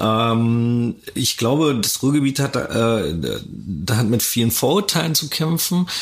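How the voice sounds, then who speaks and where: Against noticeable background noise, the speaker talks at a very slow pace with lively intonation and very even loudness. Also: man, medium pitch for a man. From Germany, Ruhr area (Dortmund). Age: 30s. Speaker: DJ and event organizer. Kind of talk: interview, casual chat. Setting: concert venue, on location.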